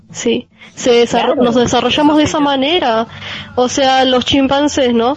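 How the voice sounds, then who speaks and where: The speaker has a Rioplatense accent and keeps the loudness very even. Noticeable background noise runs through the clip. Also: woman, high pitch for a woman, moderate pace. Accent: Rioplatense Spanish (porteño). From Argentina, Buenos Aires. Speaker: radio show guest. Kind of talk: casual panel discussion. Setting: remote connection with own microphone.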